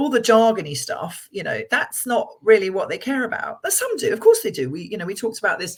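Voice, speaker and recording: This is a woman speaking. Her pace is fairly quick. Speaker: financial firm chief executive. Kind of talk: interview. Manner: loud.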